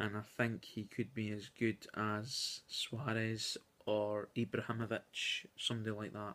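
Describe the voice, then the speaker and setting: Soft-spoken and flat in intonation, a man talks at a fairly low pitch and a fairly slow pace with a bright, sharp tone. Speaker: youtuber. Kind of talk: casual video commentary. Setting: at home at night. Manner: soft-spoken, talking quietly; hesitant with many fillers.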